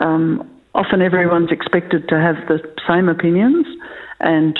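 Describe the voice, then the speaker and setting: In an Australian accent, a woman speaks at a moderate pace. Her voice is fairly low in pitch, with ordinary pitch variation. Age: 60s. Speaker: farm succession planning facilitator. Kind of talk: podcast interview. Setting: remote interview from home.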